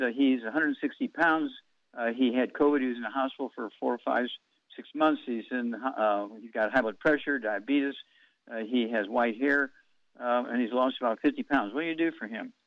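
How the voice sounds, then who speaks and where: A man with a plain, everyday voice talks at a fairly quick pace, keeping a medium pitch and fairly even intonation. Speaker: alternative health radio host. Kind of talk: radio show answering callers' health questions.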